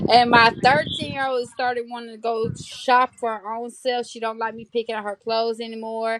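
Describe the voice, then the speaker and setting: A woman with a Southern US accent speaks at a moderate pace and fairly high pitch, flat and monotone, with big swings in loudness, hardly any pauses, and a dry, close sound with no echo. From Tennessee, near Georgia. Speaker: mother livestreamer. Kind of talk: casual chat.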